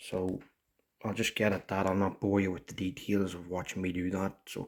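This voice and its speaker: Soft-spoken and very deep, a man talks at a moderate pace with monotone, flat intonation on a very clean recording with a silent background. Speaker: motorcycle restorer. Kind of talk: tutorial. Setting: at home. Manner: soft-spoken, talking quietly.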